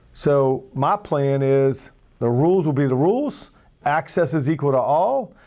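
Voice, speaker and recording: A man's fairly high, dark and mellow voice in a Louisiana accent, fairly slow, with ordinary pitch variation and very even loudness, over a quiet background. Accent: Louisiana Southern US. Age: 60s. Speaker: political candidate. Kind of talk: campaign speech.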